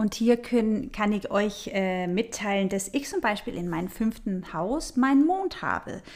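A woman's fairly high voice at a fairly slow pace, with hardly any pauses. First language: not German (speaking German). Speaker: astrology podcast host. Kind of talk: solo podcast talk on astrology. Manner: conversational with filler sounds.

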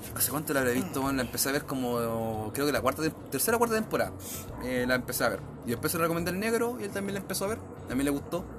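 Amid audible room echo and noticeable background noise, a man with a Chilean accent talks very fast in a fairly high voice with very wide pitch swings. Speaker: podcast host. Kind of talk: casual chat. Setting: at home.

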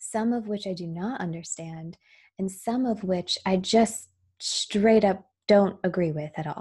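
Over a very clean recording with a silent background, a somewhat breathy woman with a dark, mellow tone speaks at a fairly slow pace. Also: medium pitch for a woman, ordinary pitch variation. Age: 30s. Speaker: podcaster. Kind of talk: personal monologue.

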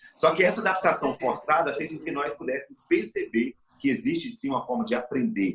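Over noticeable background noise, a man talks at a fairly quick pace in a high voice with very wide pitch swings. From Brazil, interior of Espírito Santo (mountain region). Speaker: education professor and motivational speaker. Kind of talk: interview from home. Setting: remote from home.

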